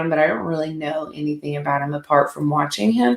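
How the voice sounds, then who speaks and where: A woman with a Southern US accent speaks at a very fast clip in an animated tone, her pitch very deep and low. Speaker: sports podcast host. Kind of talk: solo sports commentary podcast.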